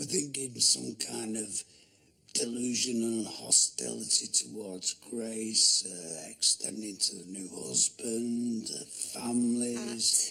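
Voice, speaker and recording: Here a man puts on a character voice. It sits at a medium pitch and moves at a fairly slow pace. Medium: short film. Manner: blunt, factual.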